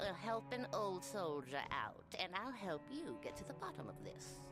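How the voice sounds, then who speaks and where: Loud music plays behind a put-on character voice at middle pitch, moving at a moderate pace. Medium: video game. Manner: sarcastic, jaded.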